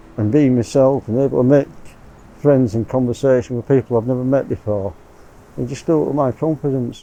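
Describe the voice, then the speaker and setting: With music in the background, a man speaks at a medium pitch. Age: 60s. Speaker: mental health service user. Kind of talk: documentary testimony.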